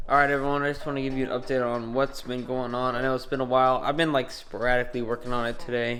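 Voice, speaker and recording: With music in the background, a man of medium pitch talks very fast in a monotone, flat intonation with hardly any pauses. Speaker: car DIY enthusiast. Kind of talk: casual talk to camera.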